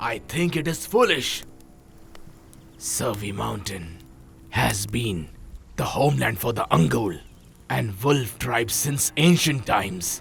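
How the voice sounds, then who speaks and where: Over clear background noise, a man uses a put-on character voice with very wide pitch swings and long, frequent pauses. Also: fairly low pitch for a man, fairly slow pace. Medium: fan dub. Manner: blunt, decisive.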